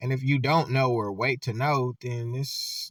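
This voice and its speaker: The somewhat breathy voice of a man comes through in a very clean recording with a silent background. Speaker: vlogger. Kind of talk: casual commentary monologue. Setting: on camera.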